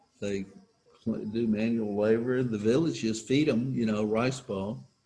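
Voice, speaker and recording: Over music in the background, the speaker talks at a fairly slow pace. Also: man. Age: 70s. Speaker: recovery speaker. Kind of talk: personal testimony. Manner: casual, halting.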